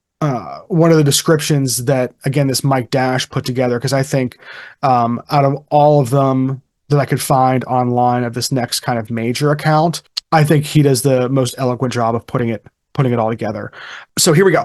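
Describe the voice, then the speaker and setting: A medium-pitched man with a Pittsburgh accent, fairly even intonation, and a moderate pace against a quiet background. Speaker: podcast host. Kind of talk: casual chat. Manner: halting, many fillers.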